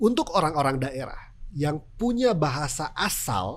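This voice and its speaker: A man at a moderate pace with a strong Sundanese accent. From West Java, Sundanese. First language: Sundanese (speaking Indonesian). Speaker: TV news presenter. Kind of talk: podcast interview.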